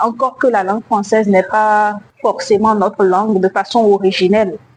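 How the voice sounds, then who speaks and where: A woman with a fairly high pitch talks in a monotone, flat intonation at very even loudness. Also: moderate pace. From Benin. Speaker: slam poet. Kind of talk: interview.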